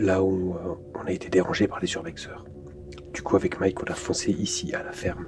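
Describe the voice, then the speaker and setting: A man whispering, with music in the background. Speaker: paranormal investigator. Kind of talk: casual chat.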